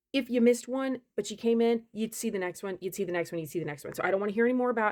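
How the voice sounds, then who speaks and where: Very fast speech from a woman, fairly high in pitch, with lively intonation. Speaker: content creator, homeowner. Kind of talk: casual vlog rant. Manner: loud.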